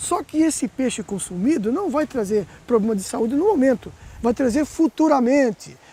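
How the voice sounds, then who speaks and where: Speaking fairly quickly with an extremely high pitch and ordinary pitch variation, a man is heard in a dry, close sound without echo over noticeable background noise. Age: 60s. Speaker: environmental activist. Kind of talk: interview. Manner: animated.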